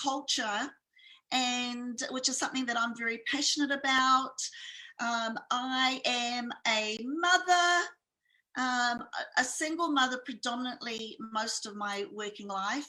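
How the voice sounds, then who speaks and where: A woman with a New Zealand accent speaks in a raised, projected voice at a high pitch. Her tone is bright and sharp, her pace fairly slow, and her pitch variation ordinary. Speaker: entrepreneur and speaker. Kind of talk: interview.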